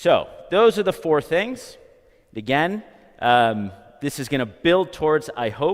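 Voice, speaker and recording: A loud, fairly high male voice at a very slow pace, with very wide pitch swings. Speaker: psychology professor. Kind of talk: lecture. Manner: projects loudly.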